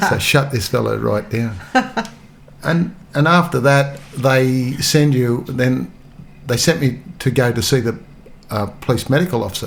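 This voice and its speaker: Noticeable background noise sits behind a man with an Australian accent whose pitch varies in an ordinary way. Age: 70s. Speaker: retired police officer. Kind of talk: storytelling interview. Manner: halting.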